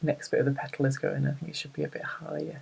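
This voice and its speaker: The speaker talks with a northern English accent. The pace is fairly quick. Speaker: embroidery crafter and blogger. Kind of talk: tutorial. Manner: casual, chatty with frequent 'um'.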